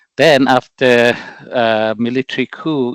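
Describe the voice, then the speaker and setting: Speaking very slowly with a northeastern Indian accent, a man has a medium pitch and a dry, close sound with no echo. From Myanmar, Chin State. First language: Mizo. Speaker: political representative, activist. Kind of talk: interview. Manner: halting, many fillers.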